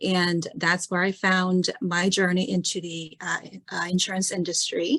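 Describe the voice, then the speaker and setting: A woman with a Korean accent, medium pitch and monotone, flat intonation at a fairly slow pace. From South Korea. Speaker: insurance client service director. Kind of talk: panel discussion.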